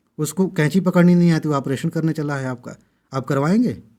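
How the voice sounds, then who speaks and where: Captured in a very clean recording with a silent background, a man speaks at a moderate pace in a fairly high pitch with ordinary pitch variation. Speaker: exam coaching YouTuber. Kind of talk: impassioned video monologue. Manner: loud; animated.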